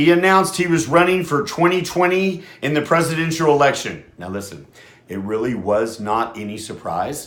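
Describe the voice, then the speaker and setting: A man's fairly high voice with very wide pitch swings, big swings in loudness and a moderate pace. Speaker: radio host. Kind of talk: casual talk radio monologue. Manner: halting, many fillers.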